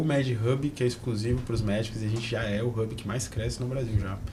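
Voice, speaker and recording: Fairly quick speech with fairly even intonation, audible room echo and noticeable background noise. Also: man. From Brasília, Brazil. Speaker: entrepreneur and business mentor. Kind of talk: podcast interview.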